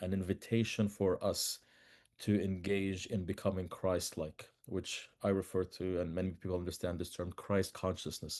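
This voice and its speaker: A man with an Arabic accent, very deep and low in pitch, monotone and flat, at a moderate pace over a quiet background. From Palestine, Bethlehem. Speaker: peace activist and author. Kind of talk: podcast interview. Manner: halting, with repetitions.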